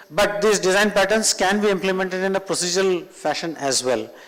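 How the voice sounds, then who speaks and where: Speaking at a moderate pace, a man with a Telugu accent has a high-pitched voice. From northern India (Punjab, Rajasthan). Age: 50s. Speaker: tech trainer. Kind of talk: lecture.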